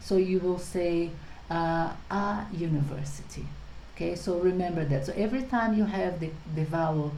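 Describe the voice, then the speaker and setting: With a Portuguese accent and a dark, mellow tone, a woman speaks at a fairly low pitch with ordinary pitch variation, in a room with audible echo. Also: moderate pace. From Brazil. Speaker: English teacher. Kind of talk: tutorial.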